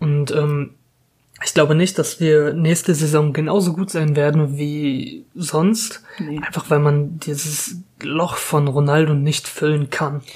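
Speaking at a very slow pace, a man uses a fairly high pitch and fairly even intonation. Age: 20s. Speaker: football podcast host, student. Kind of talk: casual chat.

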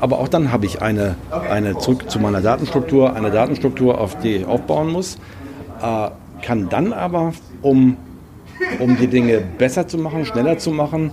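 Lively intonation from a man with a dark, mellow tone, moderate pace and faint background noise

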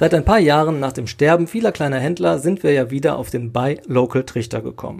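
A man's fairly high voice carries a dark, mellow tone and lively intonation. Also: very clean recording, silent background. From Sauerland, Westphalia, Germany. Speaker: podcast host. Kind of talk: solo podcast monologue. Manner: casual, conversational.

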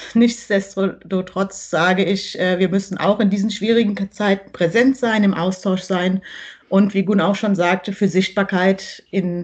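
Using a normal speaking voice, a woman talks at a fairly slow pace and medium pitch with fairly even intonation. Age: 40s. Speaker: primary school teacher. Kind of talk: casual interview.

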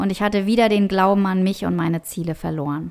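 A woman with a normal speaking voice talks at a moderate pace. Her intonation stays fairly even. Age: 40s. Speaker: mental and business coach. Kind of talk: solo podcast monologue.

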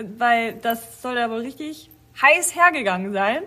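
Against noticeable background noise, a woman with a fairly high pitch speaks at a fairly slow pace with lively intonation. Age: 40s. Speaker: dance school staff and podcast co-host. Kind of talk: casual chat.

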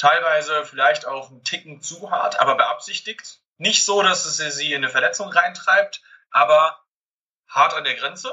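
With big swings in loudness, a man talks at a fairly slow pace. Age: 20s. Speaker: calisthenics head coach. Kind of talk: interview. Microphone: far from the mic at times, poor connection.

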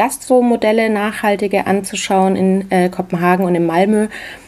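Noticeable background noise sits behind a woman speaking at a moderate pace with fairly even intonation. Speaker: podcast host, cookbook author. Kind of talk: podcast intro monologue.

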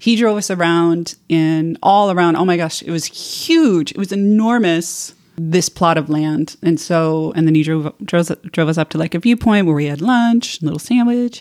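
With an American accent, a woman uses a normal speaking voice at a fairly low pitch and moderate pace, with ordinary pitch variation and hardly any pauses. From United States. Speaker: tequila enthusiast and bartender program participant. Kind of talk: casual chat.

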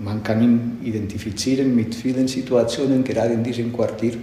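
With audible room echo, a man speaks in a Catalan accent at a moderate pace. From Barcelona, Catalonia. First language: Catalan (speaking German). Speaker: bishop. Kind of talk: interview.

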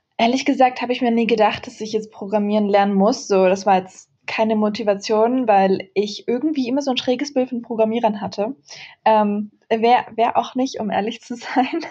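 Somewhat breathy and dark, mellow in tone, a woman speaks at a moderate pace in a fairly high pitch with fairly even intonation against a quiet background. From Germany. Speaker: author and tech speaker. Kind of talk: interview. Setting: remote call.

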